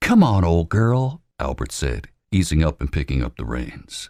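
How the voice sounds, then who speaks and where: Speaking at a fairly slow pace, a man with a very deep, low pitch and vocal fry makes very wide pitch swings on a very clean recording with a silent background. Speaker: voice actor. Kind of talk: audiobook narration.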